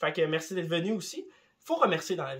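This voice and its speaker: A man with a Quebec accent. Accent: Québécois French. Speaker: YouTuber. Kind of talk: casual vlog monologue. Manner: animated.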